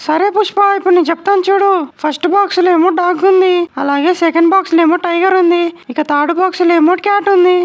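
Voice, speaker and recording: A cartoonish character voice, female-sounding, at an extremely high pitch and a moderate pace. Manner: eager, sweet.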